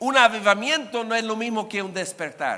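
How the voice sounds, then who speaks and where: A man uses a raised, projected voice. His pitch is extremely high. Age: 60s. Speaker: guest preacher. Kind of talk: sermon.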